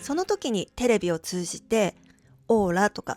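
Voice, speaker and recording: With music playing in the background, a woman talks at a fairly high pitch in a dry, close sound with no echo. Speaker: channel owner who runs a witch and crystal shop. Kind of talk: casual talk to camera, spoken essay on spirituality.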